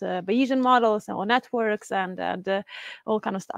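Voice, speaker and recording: In a Swedish accent, a woman talks at a moderate pace with fairly even intonation, the sound dry with no echo and the background quiet. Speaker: community organizer and event host. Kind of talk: event hosting. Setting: stage with live audience, livestreamed. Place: office. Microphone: lapel.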